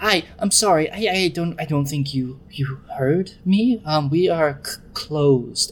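A man puts on a shaky character voice at a fairly high pitch, with ordinary pitch variation. He talks at a very slow pace over light background noise. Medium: actual play. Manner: nervous.

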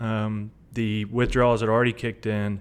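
A man is speaking. He has a Tennessee accent. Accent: Tennessee Southern. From US South. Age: 30s. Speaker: recovering addict, delivery driver. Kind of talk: testimony.

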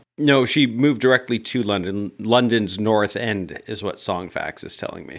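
A man's plain, everyday voice, medium in pitch, at a moderate pace with hardly any pauses and ordinary pitch variation. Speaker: music podcast co-host. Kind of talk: casual chat.

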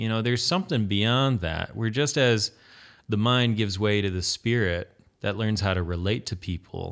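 In a very clean recording with a silent background, a man with an American accent speaks at a moderate pace. He has a plain, everyday voice, fairly low in pitch with ordinary pitch variation. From Michigan, Allegan County. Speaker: guitarist and web developer. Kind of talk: casual chat.

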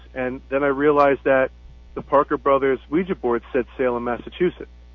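A man with an American accent has a normal speaking voice, fairly high in pitch. His intonation is fairly even and his pace fairly quick. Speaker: tattoo artist and Ouija board builder. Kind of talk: casual interview. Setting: phone call.

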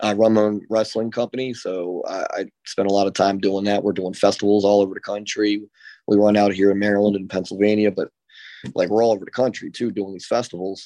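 Over a quiet background, a man with a fairly low pitch and a dark, mellow tone talks at a very fast pace in a monotone, flat intonation. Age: 30s. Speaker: professional wrestler. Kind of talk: interview. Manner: halting, many fillers.

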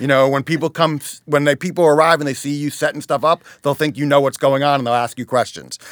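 A very fast, fairly high-pitched man with an American accent and fairly even intonation, in a dry, close sound with no echo. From Teaneck, New Jersey. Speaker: chamber of commerce president and Little League administrator. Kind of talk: casual interview chat. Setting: podcast studio.

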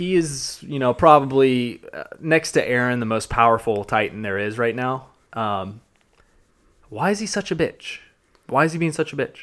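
With a slight Southern US accent, a man speaks at a moderate pace. His medium-pitched voice carries lively intonation. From US South, Georgia. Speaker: podcast host. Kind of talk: casual chat. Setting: studio.

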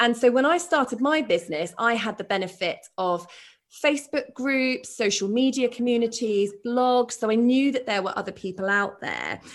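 A woman with a British accent speaks in a fairly high pitch at a moderate pace. Her pitch variation is ordinary, and the background is quiet. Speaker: podcast host and shoe brand founder. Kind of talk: interview conversation.

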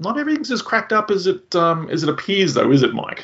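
Swinging very widely in pitch, a man with an Australian accent speaks high and at a fairly quick pace. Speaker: podcast host. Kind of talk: casual interview chat.

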